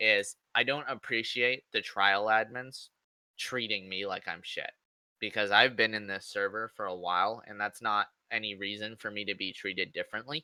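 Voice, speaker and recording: In a very clean recording with a silent background and a dry, close sound with no echo, a man speaks loudly at a moderate pace, his fairly low pitch, fairly even intonation and bright, sharp tone all clear. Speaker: gamer, game server staff member. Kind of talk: casual chat. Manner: rhythmic cadence.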